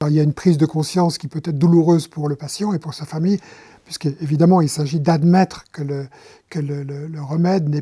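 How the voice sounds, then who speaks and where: A man speaks at a fairly high pitch with a dark, mellow tone. His intonation stays fairly even. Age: 70s. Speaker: palliative care volunteer. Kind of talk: testimony. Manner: halting, with repetitions and hesitations.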